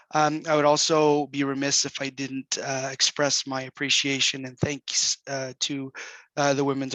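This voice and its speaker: A man's fairly high, bright, sharp voice in a monotone, flat intonation, with a dry, close sound and no echo. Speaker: government program director. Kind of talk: presentation. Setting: online video session. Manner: halting.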